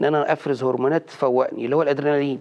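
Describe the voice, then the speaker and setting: Very fast speech comes from a man with a fairly high pitch. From Egypt. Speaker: cardiologist; guest. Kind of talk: TV health interview. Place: studio. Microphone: lapel.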